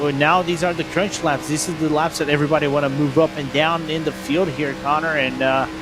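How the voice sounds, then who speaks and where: A man with a Brazilian accent and fairly high pitch, talking at a fairly quick pace with hardly any pauses, amid audible room echo and music in the background. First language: Brazilian Portuguese. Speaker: sim racing commentator. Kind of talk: live commentary. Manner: animated.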